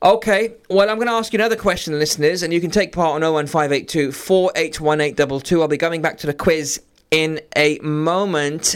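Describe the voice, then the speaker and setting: With a normal speaking voice, a man speaks at a moderate pace, his pitch fairly high and its variation ordinary. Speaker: radio host. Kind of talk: live radio DJ patter, friendly call-in banter with greetings and sign-offs.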